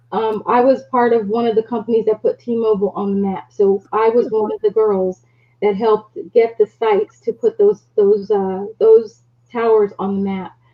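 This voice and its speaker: At a moderate pace, a woman with an American accent talks in a fairly high, flat monotone. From US Northeast (South Jersey). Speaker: business owner. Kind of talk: casual chat.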